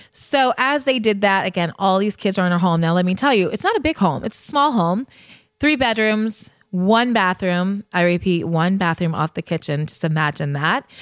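A woman with an American accent speaks in a plain, everyday voice at a medium pitch and moderate pace. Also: lively intonation. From Connecticut, Fairfield. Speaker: podcast host and brand founder. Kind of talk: personal storytelling monologue. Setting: studio couch.

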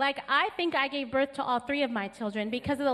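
Animated in tone, a woman talks at a fairly quick pace with an American accent. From California. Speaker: pastor. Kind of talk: sermon. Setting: church. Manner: animated, joyful.

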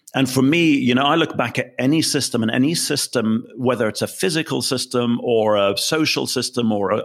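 A man speaks with a British accent and ordinary pitch variation. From England. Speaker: business consultant. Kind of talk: interview.

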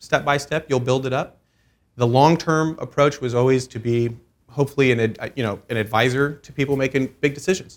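A man with an American accent talks fairly quickly in a normal speaking voice with fairly even intonation, on a very clean recording with a silent background. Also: medium pitch for a man. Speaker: commercial real estate broker. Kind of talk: interview.

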